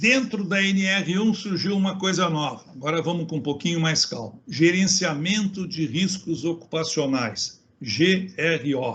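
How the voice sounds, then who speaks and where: Barely pausing, a man with a high voice moves at a fairly slow pace with lively intonation. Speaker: safety engineer and consultant. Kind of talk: webinar talk.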